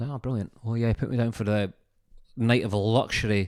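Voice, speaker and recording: Over a very clean recording with a silent background, a man with a Scottish accent talks fairly quickly at a fairly low pitch. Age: 30s. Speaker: comedian. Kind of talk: comedic storytelling podcast monologue. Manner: animated.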